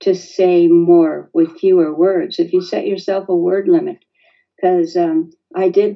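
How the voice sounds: Behind the voice, the background stays quiet. What we hear is a natural reading voice.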